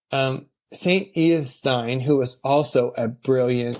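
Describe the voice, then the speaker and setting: Ordinary pitch variation runs through a man's medium-pitched voice. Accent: American. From San Francisco, US West Coast. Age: 60s. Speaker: guest on faith podcast. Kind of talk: interview conversation. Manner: halting with many fillers.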